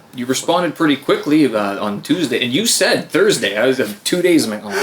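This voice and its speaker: Against noticeable background noise, a man talks at a fairly quick pace with a fairly high pitch and very wide pitch swings. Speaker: podcast host. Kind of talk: casual chat. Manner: stumbling.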